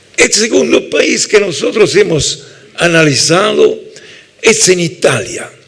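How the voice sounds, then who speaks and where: A man speaks very slowly at a very even loudness over noticeable background noise. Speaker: labour law professor. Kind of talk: lecture.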